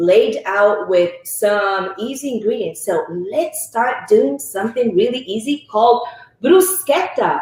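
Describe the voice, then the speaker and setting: Against noticeable background noise, a woman speaks at a very slow pace in a high pitch with very wide pitch swings. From Italy. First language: Italian. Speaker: cooking instructor. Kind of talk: cooking demonstration.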